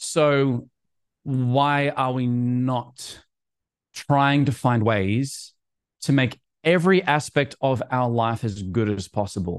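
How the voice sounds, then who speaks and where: Speaking very slowly, a man with an Australian accent uses a medium pitch. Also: ordinary pitch variation, quiet background. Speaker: musician and content creator. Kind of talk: podcast interview.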